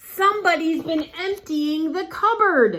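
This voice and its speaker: Using a put-on character voice, a woman speaks at an extremely high pitch. Her pitch varies in an ordinary way, and her pace is fairly slow. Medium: read story.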